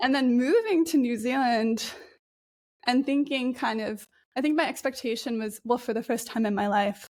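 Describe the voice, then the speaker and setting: A high-pitched female voice, moderate pace and ordinary pitch variation. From Japan (Osaka), raised by Australian and New Zealander parents. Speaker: climate resilience researcher. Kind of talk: podcast interview. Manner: hesitant, with fillers.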